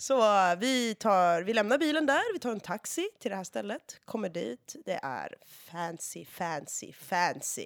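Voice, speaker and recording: A woman's medium-pitched voice at a fairly slow pace, with very wide pitch swings, in a very clean recording with a silent background and a dry, close sound with no echo. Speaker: guest storyteller. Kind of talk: casual chat. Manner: animated.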